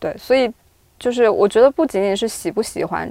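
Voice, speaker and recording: Against a quiet background, a woman talks at a fairly quick pace. She has an unremarkable speaking voice with ordinary pitch variation. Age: 30s. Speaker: video producer. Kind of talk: casual chat.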